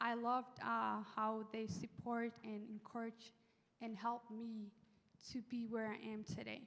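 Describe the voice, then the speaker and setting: The speaker has a non-native accent and talks at a fairly slow pace in a monotone, flat intonation. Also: woman, fairly high pitch for a woman. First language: not English. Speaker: former English learner student panelist. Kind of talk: panel discussion. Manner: halting.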